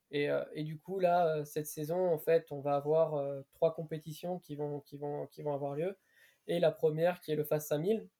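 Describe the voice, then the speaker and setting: Dry and close with no echo, a man's fairly high voice with a dark, mellow tone moves at a fairly slow pace, his intonation fairly even but his loudness swinging widely. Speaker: podcast co-host, runner. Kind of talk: casual interview. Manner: hesitant, fillers.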